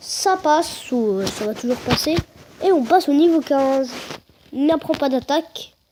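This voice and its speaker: A woman speaks loudly at a high pitch. Her intonation is lively. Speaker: gaming youtuber. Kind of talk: let's play commentary. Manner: hesitant, many fillers; trying to speak loudly.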